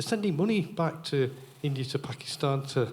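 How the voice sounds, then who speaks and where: Moderate pace and ordinary pitch variation in an ordinary speaking voice. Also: man. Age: 60s. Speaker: audience member. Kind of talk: audience comment at Q&A.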